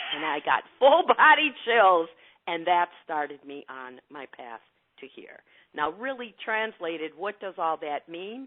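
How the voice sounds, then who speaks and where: At a fairly slow pace, a woman with a fairly low pitch speaks in an animated tone, with very wide pitch swings and big swings in loudness. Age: 60s. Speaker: intuitive coach and energy healer. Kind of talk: interview.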